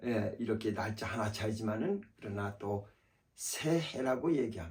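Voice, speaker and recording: Somewhat breathy, a man talks fairly slowly at a fairly low pitch, with ordinary pitch variation. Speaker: pastor. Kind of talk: sermon. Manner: halting, many fillers.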